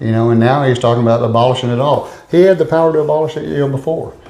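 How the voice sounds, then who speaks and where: Speaking at a fairly quick pace, a man uses an East Texas accent with ordinary pitch variation. Audible room echo surrounds his voice. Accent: East Texas Southern US. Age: 60s. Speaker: political candidate. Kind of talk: interview.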